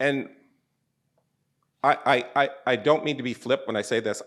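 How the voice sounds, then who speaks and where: A man speaks at a medium pitch with an American accent. His pace is moderate, on a very clean recording with a silent background. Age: 60s. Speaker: artist. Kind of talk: public conversation.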